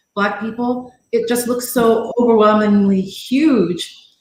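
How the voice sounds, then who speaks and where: A woman's pitch varies in an ordinary way amid audible room echo. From Jamaica. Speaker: live stream guest. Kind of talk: casual chat.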